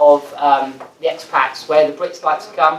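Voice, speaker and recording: An English accent over noticeable background noise. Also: man. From England. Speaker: foreign exchange company executive. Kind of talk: business presentation.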